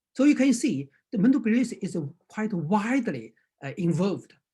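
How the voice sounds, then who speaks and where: In a Chinese accent, a man speaks at a moderate pace with very wide pitch swings and a dark, mellow tone. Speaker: acupuncture teacher. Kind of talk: lecture. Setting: video call. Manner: halting.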